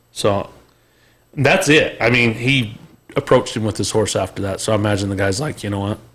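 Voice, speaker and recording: A man speaks fairly quickly with an American accent in a fairly low voice. He has a normal speaking voice with ordinary pitch variation. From Utah, Salt Lake area. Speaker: podcast host. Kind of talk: casual chat.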